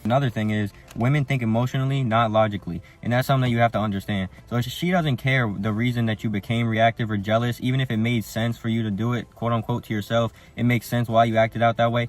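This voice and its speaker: A man talks at a very fast pace with a medium pitch. His intonation stays fairly even. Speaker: dating advice youtuber. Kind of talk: advice monologue. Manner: casual.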